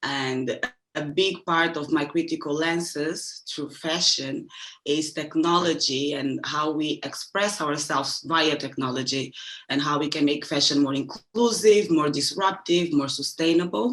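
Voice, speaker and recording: A woman with a very deep, low pitch speaks at a fairly slow pace, using ordinary pitch variation. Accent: Portuguese. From Angola. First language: Portuguese. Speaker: fashion media practitioner. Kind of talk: panel discussion.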